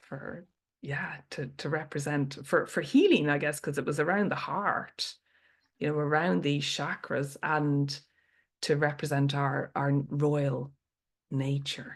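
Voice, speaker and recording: Against a quiet background, a woman with an Irish accent speaks at a fairly slow pace in a very deep, low pitch. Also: fairly even intonation. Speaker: storyteller. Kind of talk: podcast interview answer.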